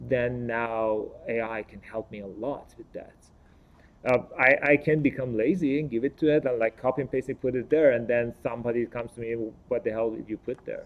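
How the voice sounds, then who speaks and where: Speaking at a fairly quick pace with a non-native accent, a man of medium pitch keeps his intonation fairly even while his loudness swings widely. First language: not English. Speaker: panelist. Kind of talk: panel discussion. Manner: halting, with repetitions.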